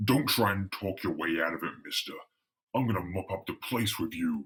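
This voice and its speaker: In a put-on character voice, a man speaks at a fairly low pitch and a moderate pace. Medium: read story. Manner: gruff, menacing.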